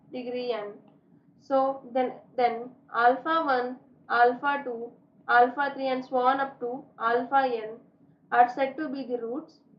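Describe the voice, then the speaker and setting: Amid audible room echo, a woman with a high pitch speaks in a flat monotone at a fairly slow pace, with long, frequent pauses and big swings in loudness. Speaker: maths teacher. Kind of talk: lecture.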